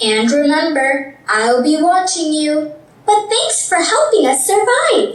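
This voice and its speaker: A cartoonish character voice, high in pitch with a warm tone, speaks at a fairly slow pace with a slight echo. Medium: puppet show. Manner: warm, firm.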